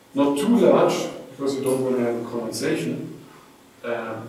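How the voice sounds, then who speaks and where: Man speaking at a moderate pace with ordinary pitch variation, strong room echo and light background noise. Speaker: physics lecturer. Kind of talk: lecture. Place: hall.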